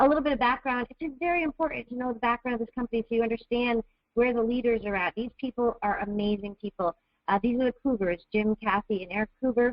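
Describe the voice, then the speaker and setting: A woman's fairly high voice at a very fast pace with ordinary pitch variation. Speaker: network marketing distributor. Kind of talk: webinar presentation. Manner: animated.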